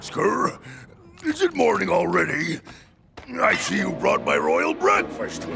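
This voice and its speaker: This is a man in a cartoonish character voice. He moves at a fairly slow pace. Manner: gruff, gloating.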